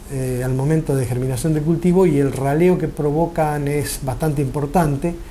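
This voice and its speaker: A man with fairly high pitch talks at a moderate pace, using ordinary pitch variation. Audible room echo and noticeable background noise are present. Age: 60s. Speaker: farmer. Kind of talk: interview. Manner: formal.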